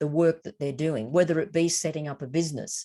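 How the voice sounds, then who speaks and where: A woman speaks with an Australian accent in a fairly low pitch. The background is quiet. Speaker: educator presenting an online course. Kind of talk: webinar presentation. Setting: online webinar.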